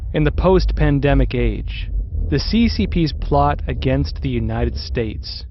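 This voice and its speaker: A man's dramatic tone at a moderate pace over noticeable background noise. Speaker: documentary narrator. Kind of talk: history documentary narration, scripted and portentous. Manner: measured, dramatic, grave.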